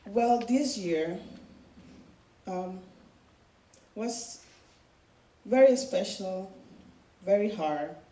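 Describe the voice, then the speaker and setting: A woman with a non-native accent speaks at a very slow pace with long, frequent pauses, medium pitch and lively intonation, amid audible room echo and noticeable background noise. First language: not English. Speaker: student speaker sharing personal story. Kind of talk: personal testimony speech.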